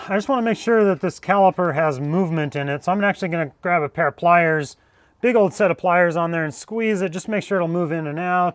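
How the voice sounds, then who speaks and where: A loud man with a high pitch and ordinary pitch variation, talking at a very fast pace, with a dry, close sound with no echo against a quiet background. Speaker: jeep repair youtuber. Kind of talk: live stream repair tutorial. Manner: loud, speaking up.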